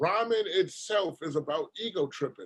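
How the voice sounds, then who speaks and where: A man speaks with a New York accent. His pace is fairly slow. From Brooklyn, New York. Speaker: rapper. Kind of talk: casual chat.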